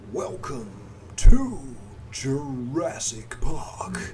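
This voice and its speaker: A put-on character voice over clear background noise. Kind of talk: radio announcer.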